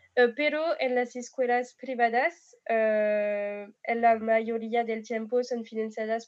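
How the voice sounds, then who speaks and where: With a French accent, a woman speaks at a very slow pace with hardly any pauses, a fairly high pitch and fairly even intonation. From France. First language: French (speaking Spanish). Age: 20s. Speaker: exchange student. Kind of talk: casual panel discussion. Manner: hesitant.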